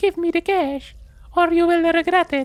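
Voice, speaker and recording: Pitched extremely high, a put-on character voice speaks at a moderate pace. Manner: threatening.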